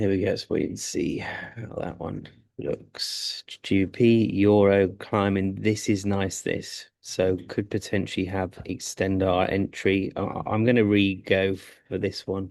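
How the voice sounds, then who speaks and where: A man speaks in a flat monotone at a fairly low pitch over a quiet background. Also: fairly slow pace, hardly any pauses. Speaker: forex trader streaming live trades. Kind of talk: live trading commentary. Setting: live stream from a sports club. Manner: quiet, subdued; halting, stammering.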